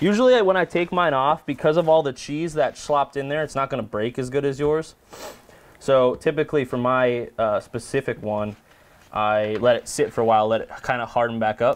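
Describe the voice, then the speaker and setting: This man has an American accent. He talks fairly quickly with ordinary pitch variation. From Wisconsin. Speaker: podcast co-host. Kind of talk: casual cooking show chat. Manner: animated. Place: kitchen.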